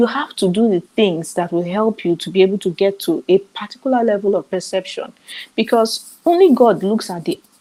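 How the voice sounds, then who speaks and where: A woman with a Nigerian accent speaks fairly quickly at medium pitch, her dark, mellow tone carrying lively intonation. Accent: Nigerian, clear. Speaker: summit speaker on author business. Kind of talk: online seminar talk. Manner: clear enunciation.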